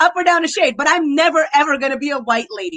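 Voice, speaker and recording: Raised and projected, a woman's high, bright, sharp voice races along at a very fast pace with an animated tone and an American accent. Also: dry, close sound with no echo. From USA. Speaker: YouTuber, commentary channel guest. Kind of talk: casual chat. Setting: livestream video call.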